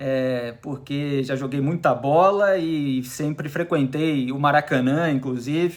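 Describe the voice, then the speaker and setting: The speaker has a Carioca accent. The pace is very slow. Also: man. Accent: carioca (Rio de Janeiro) Portuguese. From Rio de Janeiro, Brazil (South Zone of the city). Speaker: journalist and columnist. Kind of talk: radio interview. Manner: animated.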